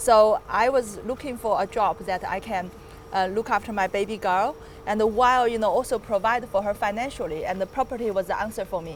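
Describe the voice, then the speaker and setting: A woman's fairly high voice with a Chinese accent, ordinary pitch variation and a fairly quick pace. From China, Chengdu. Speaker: property developer. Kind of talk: casual interview.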